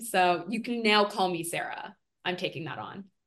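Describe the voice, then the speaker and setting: Against a quiet background, a woman speaks at a moderate pace in a plain, everyday voice. Her pitch is medium and her intonation fairly even. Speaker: film industry consultant. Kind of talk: casual chat.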